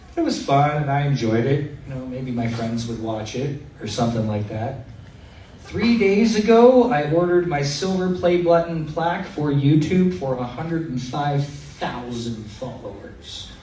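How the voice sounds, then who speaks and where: Noticeable background noise and audible room echo accompany a man speaking at a moderate pace with a fairly high pitch and lively intonation. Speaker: event MC and podcast host. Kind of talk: live stage interview. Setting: stage with audience. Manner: stuttering a little; animated.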